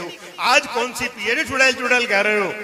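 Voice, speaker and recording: Over noticeable background noise, a man uses a raised, projected voice with a high pitch at a moderate pace. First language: Punjabi (speaking Hindi). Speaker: comic poet. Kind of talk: stand-up. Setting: stage with audience. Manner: animated.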